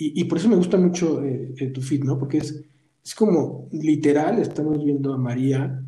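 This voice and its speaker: Amid audible room echo, a man speaks at a moderate pace in a fairly high pitch, his somewhat breathy voice dark and mellow in tone, with ordinary pitch variation. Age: 40s. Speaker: podcast host. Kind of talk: casual interview. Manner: halting, with frequent repetitions.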